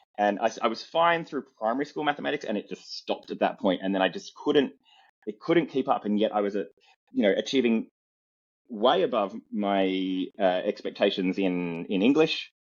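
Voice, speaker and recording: A man speaks with an Australian accent. His pitch swings very widely. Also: medium pitch for a man, moderate pace. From Australia, southwestern Sydney. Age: 40s. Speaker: comedian. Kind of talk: interview.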